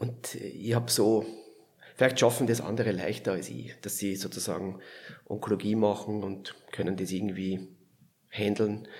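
With a Viennese accent, the speech moves at a moderate pace with fairly even intonation and long, frequent pauses. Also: man, fairly low pitch for a man. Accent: Viennese Austrian dialect. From Lower Austria, near Vienna. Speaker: palliative care physician. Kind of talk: interview conversation.

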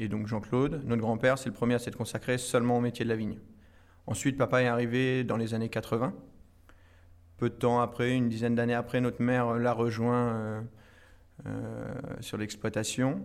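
A man speaks at a medium pitch in a flat monotone, with long, frequent pauses. The recording is very clean, with a silent background. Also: moderate pace. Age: 20s. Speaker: winegrower. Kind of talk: interview. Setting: tasting cellar at the estate.

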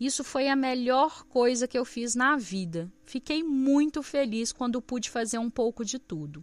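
Speaking at a high pitch and a fairly slow pace, a woman uses lively intonation with hardly any pauses. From Brazil, countryside. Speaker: podcast host. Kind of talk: solo podcast monologue.

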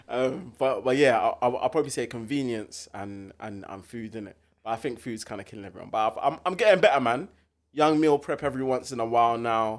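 In a very clean recording with a silent background, a man with a plain, everyday voice and medium pitch speaks at a fairly quick pace, with ordinary pitch variation and big swings in loudness. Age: 20s. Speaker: podcast host. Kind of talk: casual chat. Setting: studio.

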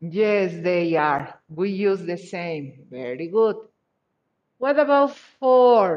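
A woman with a Spanish accent speaks at a very slow pace in a medium pitch, her voice swinging very widely up and down. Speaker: English teacher. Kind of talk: online class.

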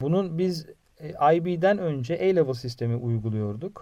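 A man speaks at a moderate pace in a dark, mellow tone, with ordinary pitch variation. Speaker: biology teacher. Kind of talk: interview. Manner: halting, many fillers.

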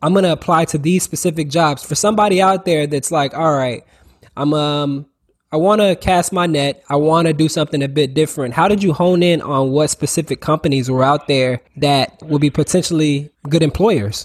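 A man's normal speaking voice with an American accent, fairly high in pitch with ordinary variation, at very even loudness on a very clean recording with a silent background. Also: moderate pace. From Orlando, Florida. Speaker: podcast host. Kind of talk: casual interview.

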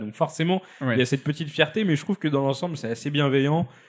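Pitch varies in an ordinary way across a very clean recording with a silent background. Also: man. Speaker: video game specialist. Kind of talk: casual chat. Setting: studio.

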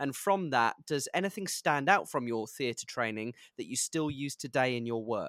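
With a British accent, a fairly high-pitched man speaks at a moderate pace with lively intonation, in a very clean recording with a silent background and a dry, close sound with no echo. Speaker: podcast host and actor. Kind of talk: interview conversation.

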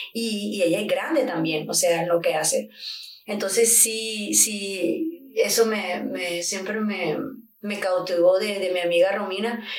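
A woman speaks at a medium pitch and a very slow pace with ordinary pitch variation. Audible room echo and noticeable background noise fill the recording. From Colombia. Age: 30s. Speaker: camera operator. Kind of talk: casual chat.

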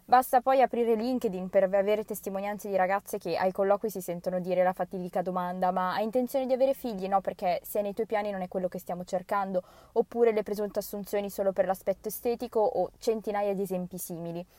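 A woman's dark, mellow voice at medium pitch, very fast and fairly even in intonation, with dry, close sound and no echo. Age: 20s. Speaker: university student. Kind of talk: recorded personal statement.

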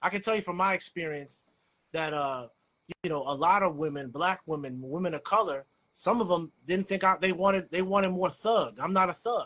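A man's high voice with a bright, sharp tone and an American accent, at a fairly quick pace with ordinary pitch variation. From DMV (Washington DC area). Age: 40s. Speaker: writer, co-host. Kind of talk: casual chat.

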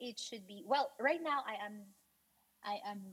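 The speaker is a woman with lively intonation. Her pace is fairly slow. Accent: Filipino. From Philippines. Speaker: guest expat. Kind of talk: casual interview. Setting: video call.

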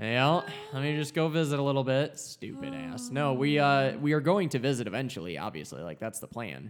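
A man at medium pitch, fairly quick with hardly any pauses, ordinary pitch variation, over noticeable background noise. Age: 20s. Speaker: podcast host. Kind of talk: casual chat.

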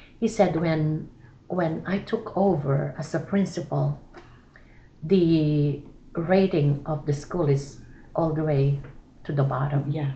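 A woman with a very deep, low, somewhat breathy voice speaks at a very slow pace with long, frequent pauses, and there is audible room echo. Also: ordinary pitch variation. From Philippines. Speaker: church missionary. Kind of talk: casual chat.

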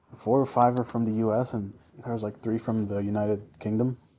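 A dark, mellow tone at a moderate pace. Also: man. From Mexico. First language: Spanish. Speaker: podcast host. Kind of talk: casual chat. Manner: casual, joking.

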